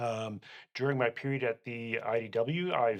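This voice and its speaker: A man speaks in a Canadian accent. His pitch sits in the middle range and his intonation stays fairly even. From Canada. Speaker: accountant. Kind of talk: interview. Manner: halting.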